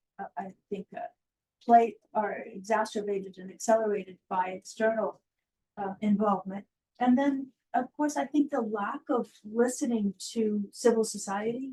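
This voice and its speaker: In a dry, close sound with no echo, a woman speaks at a moderate pace with a fairly high pitch and ordinary pitch variation. Her voice is somewhat breathy, with a dark, mellow tone. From United States. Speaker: academic panelist. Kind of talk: panel discussion.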